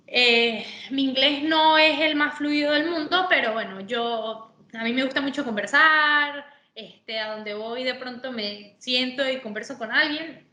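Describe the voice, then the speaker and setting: A woman projects her raised voice at a high pitch with ordinary variation. She speaks at a fairly slow pace, and room echo is audible. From Venezuela. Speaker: sports manager, former footballer. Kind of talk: interview.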